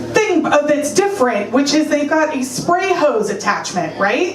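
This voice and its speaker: The speaker has an American accent, with audible room echo and noticeable background noise in the recording. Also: woman. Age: 30s. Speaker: stand-up comedian. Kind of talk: stand-up. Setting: stage with audience.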